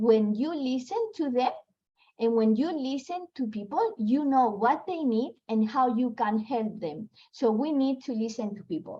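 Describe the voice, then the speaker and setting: With a non-native accent, a woman talks fairly slowly in a high pitch, her intonation lively and her tone dark and mellow. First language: not English. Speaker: network marketing leader. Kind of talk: motivational talk. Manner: halting.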